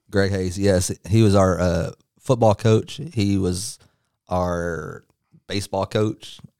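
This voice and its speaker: A man with a Texan accent speaks at a very slow pace. His pitch is fairly low, with a dark, mellow tone. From North Texas (Dallas area). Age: 30s. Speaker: pro wrestler. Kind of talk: interview.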